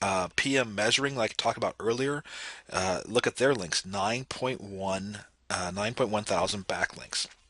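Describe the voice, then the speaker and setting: A man talks with a bright, sharp tone. His pace is moderate and his pitch variation ordinary. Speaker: SEO marketing consultant. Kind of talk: screen-recorded audit walkthrough. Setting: home office.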